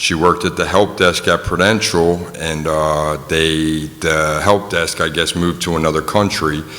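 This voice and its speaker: A man speaks at a very deep, low pitch in a flat monotone, at a moderate pace with hardly any pauses. Audible room echo and noticeable background noise surround him. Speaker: person in addiction recovery. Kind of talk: testimony. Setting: community forum in a gym, audience. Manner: halting, many fillers.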